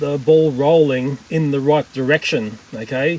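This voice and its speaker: There is noticeable background noise as a man with an Australian accent speaks in a fairly high pitch. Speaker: tech YouTuber. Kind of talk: casual vlog narration.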